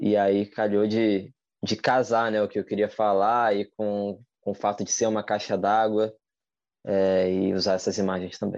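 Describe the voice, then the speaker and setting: This man has a fairly low pitch and speaks at a fairly slow pace. His delivery is monotone and flat, with very even loudness. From Rio de Janeiro, Brazil. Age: 30s. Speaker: street artist. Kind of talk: casual interview chat. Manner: halting, repeats words.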